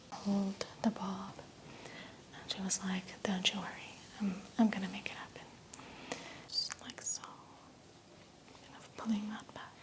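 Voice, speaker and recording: Whispering at a fairly slow pace in a calm tone, the speaker leaves long, frequent pauses over noticeable background noise. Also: woman. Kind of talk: soft-spoken ASMR massage narration. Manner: soft-spoken, calm, slow.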